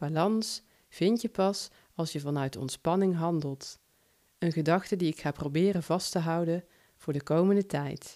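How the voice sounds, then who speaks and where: Fairly low-pitched female speech with a dark, mellow tone and a slight Brabant accent, fairly slow, with ordinary pitch variation, in a very clean recording with a silent background. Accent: slight Brabant Dutch. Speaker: podcaster and short story writer. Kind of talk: personal podcast monologue.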